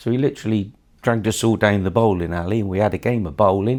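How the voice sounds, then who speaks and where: A man with a West Country accent speaks very fast in a fairly low voice. His pitch varies in an ordinary way, and the recording is very clean with a silent background. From Somerset, south-west England. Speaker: bowling association chairman. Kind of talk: interview.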